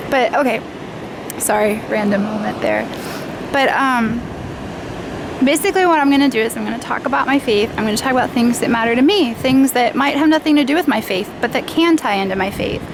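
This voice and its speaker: A woman talks at a high pitch and a fairly quick pace, her intonation lively. Noticeable background noise runs underneath. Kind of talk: casual unscripted vlog monologue. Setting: outdoors on a beach.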